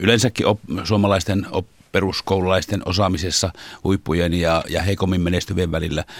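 A man with a very deep, low pitch speaks with ordinary pitch variation in a dry, close sound with no echo. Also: very clean recording, silent background. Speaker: teachers' union chairman. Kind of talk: studio interview. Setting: studio.

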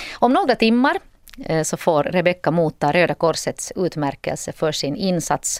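A woman talks at a moderate pace in a plain, everyday voice, fairly low in pitch. The sound is dry and close, with no echo. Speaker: radio host. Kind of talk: radio interview. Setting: radio studio.

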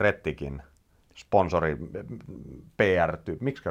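This man's voice is very deep and low in pitch. His intonation is lively. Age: 40s. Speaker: podcast host, rally journalist. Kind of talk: casual interview.

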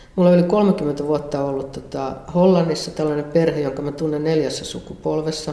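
A medium speed and a mostly level tone, with clear echo from the room. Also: woman. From Finland, Central Ostrobothnia. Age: 60s. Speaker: visual artist. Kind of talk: interview. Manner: casual, hesitant with fillers.

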